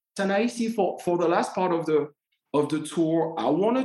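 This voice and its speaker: The speech comes at a fairly quick pace in a French accent. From Martinique. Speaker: podcast host and tour guide. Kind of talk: interview.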